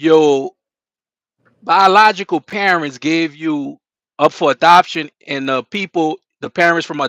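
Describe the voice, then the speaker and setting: Against a quiet background with a dry, close sound and no echo, a man with a New Orleans accent speaks at a moderate pace and a high pitch, his tone bright and sharp and his pitch variation ordinary. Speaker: live stream host. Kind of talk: interview. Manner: casual.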